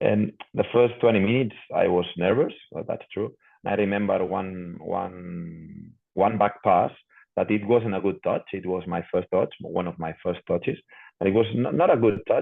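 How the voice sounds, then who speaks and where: With a Spanish accent, a man speaks at a moderate pace. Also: fairly low pitch for a man, ordinary pitch variation. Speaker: professional footballer. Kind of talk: interview. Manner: halting, repeats words.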